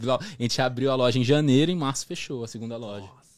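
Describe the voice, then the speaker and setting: A man with a Brasília accent talks at a fairly quick pace. His pitch is medium, on a very clean recording with a silent background. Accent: Brazilian Portuguese, Brasília. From Brasília, Brazil. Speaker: barber. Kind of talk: casual chat. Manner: slangy, relaxed.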